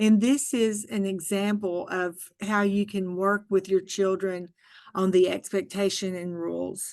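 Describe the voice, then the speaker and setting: A woman speaks with an Arkansas accent. Her intonation is fairly even. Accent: Southern US (Arkansas). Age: 60s. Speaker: early childhood education trainer. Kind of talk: training webinar. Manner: casual.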